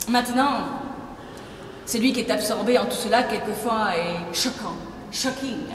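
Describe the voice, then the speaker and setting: A woman at a fairly high pitch, ordinary pitch variation, a very slow pace, and noticeable background noise. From Belgium. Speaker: actress. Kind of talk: literary reading of letters. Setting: live reading in a museum.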